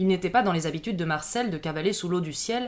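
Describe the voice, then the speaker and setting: A woman speaks in an ordinary speaking voice at a medium pitch. The recording is very clean, with a silent background. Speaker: voice actor. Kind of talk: noir crime story narration.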